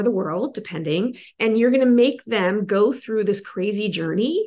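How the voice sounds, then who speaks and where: A woman with a normal speaking voice, fairly high pitch and lively intonation, against a quiet background. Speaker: film producer. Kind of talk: workshop feedback discussion.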